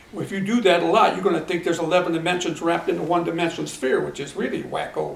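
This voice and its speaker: Someone with an American accent talks very fast with fairly even intonation. Noticeable background noise and audible room echo are present. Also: man, high pitch for a man. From Akron, Ohio, US Midwest. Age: 70s. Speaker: retired teacher and track coach. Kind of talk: interview.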